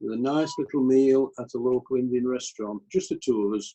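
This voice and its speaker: Speaking with a Yorkshire accent, a man has a dark, mellow tone, medium pitch, ordinary pitch variation and a moderate pace. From Yorkshire, Pennines near Skipton. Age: 70s. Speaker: retired engineer, church member. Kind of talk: interview.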